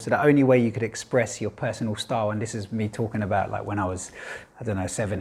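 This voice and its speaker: A somewhat breathy man with a London accent, fairly low in pitch, with fairly even intonation. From East London, England. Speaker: filmmaker. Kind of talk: interview monologue. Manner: casual, with fillers.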